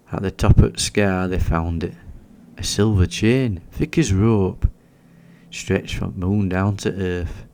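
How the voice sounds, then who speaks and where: In a Yorkshire accent, a man's very deep, low voice has a soothing tone that is dark and mellow. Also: lively intonation, fairly slow pace. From Yorkshire, England. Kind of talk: sleep story. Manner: slow, soothing.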